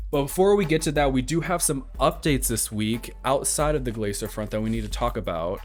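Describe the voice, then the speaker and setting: A man delivers his words fairly quickly. Background music accompanies him. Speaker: podcast host. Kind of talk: casual podcast talk.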